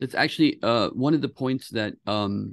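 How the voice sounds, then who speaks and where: This man talks at a moderate pace against a quiet background, the sound dry with no echo. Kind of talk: interview conversation. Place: office. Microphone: video call.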